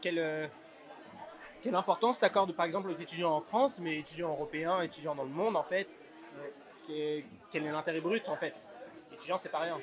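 Crowd noise runs in the background as a man speaks at a high pitch and moderate pace. His pitch varies in an ordinary way, and long pauses come often. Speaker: student podcast host. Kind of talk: interview. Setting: rooftop. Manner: energetic.

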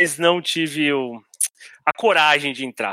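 The voice has a bright, sharp tone and fairly even intonation, heard in a dry, close sound with no echo. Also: man, very clean recording, silent background. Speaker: podcast host, journalist. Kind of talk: casual football discussion podcast.

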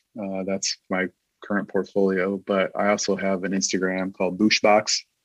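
With music in the background, a man speaks fairly slowly at a fairly low pitch, the sound dry and close with no echo. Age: 50s. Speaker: creative director. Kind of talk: casual chat.

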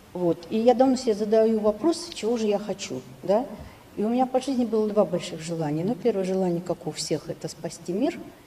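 Over noticeable background noise, the voice runs at a fairly quick pace with lively intonation. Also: woman, medium pitch for a woman. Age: 60s. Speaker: audience member. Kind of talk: asking a question.

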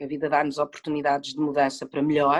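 A woman at a very fast pace, recorded dry and close with no echo. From Portugal, early childhood in Madrid. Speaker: actress. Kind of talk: casual interview.

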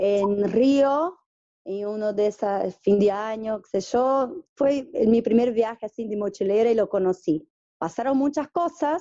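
Speaking fairly slowly, the voice sounds dark and mellow, with ordinary pitch variation. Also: woman. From northeast Brazil. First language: Portuguese (speaking Spanish). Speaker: interviewee, small-town organic farming community member. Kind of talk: interview. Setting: at her home. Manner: halting, many repetitions.

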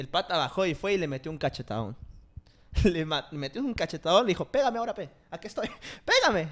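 A man talks at a very fast pace in a high voice with very wide pitch swings. Long pauses break up his speech often. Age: 20s. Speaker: podcast host. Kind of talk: casual chat.

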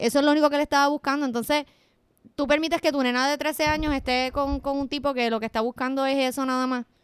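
A woman's high voice with a Puerto Rican accent, very fast pace and fairly even intonation, in a dry, close sound with no echo. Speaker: podcast co-host. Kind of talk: casual chat.

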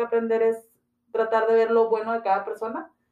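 Her delivery comes at a moderate pace. The woman has a normal speaking voice. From Ciudad Juárez, Chihuahua, northern Mexico. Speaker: entrepreneurship and branding consultant. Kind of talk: interview.

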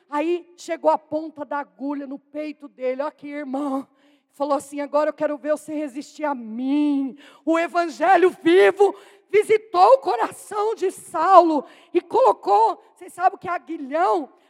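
Music plays behind a woman's high, animated voice. Her loudness swings widely, and the sound is dry and close with no echo. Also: ordinary pitch variation, moderate pace. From Brazil, São Paulo state. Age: 40s. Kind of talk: sermon. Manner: animated, exclamatory.

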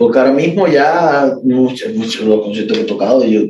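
Dark and mellow in tone, a man's voice moves at a moderate pace. Its pitch variation is ordinary. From Cuba, Havana area. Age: 40s. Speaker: classical guitarist. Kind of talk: interview conversation.

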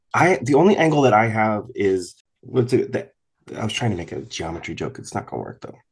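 Speaking very fast with vocal fry, a man at a medium pitch is heard against a quiet background. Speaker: podcast host. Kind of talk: casual chat.

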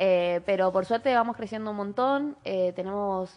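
Moderate pace, ordinary pitch variation, a plain, everyday voice. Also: woman. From Chaco, Argentina. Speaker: small food business owner. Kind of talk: interview.

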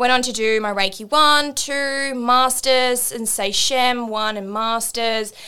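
The tone is bright and sharp, with fairly even intonation. Delivery is very slow, with hardly any pauses. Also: woman, high pitch for a woman. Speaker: meditation and spiritual mentor. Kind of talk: casual chat.

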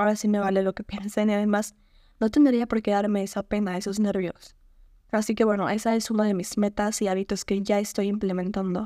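Her dark, mellow tone sits at a medium pitch, and this woman speaks with monotone, flat intonation in a dry, close sound with no echo. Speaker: podcast host. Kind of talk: casual solo podcast monologue.

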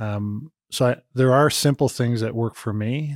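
At a moderate pace, a man with an ordinary speaking voice talks at a medium pitch with fairly even intonation, the sound dry and close with no echo in a very clean recording with a silent background. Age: 40s. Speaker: HR conflict mediator, former youth pastor. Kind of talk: casual chat.

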